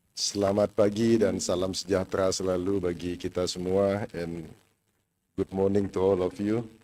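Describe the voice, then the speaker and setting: In a very clean recording with a silent background, a man with an Indonesian accent talks in a very deep, low voice with a dark, mellow tone and monotone, flat intonation. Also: moderate pace. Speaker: provincial governor. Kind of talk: opening speech.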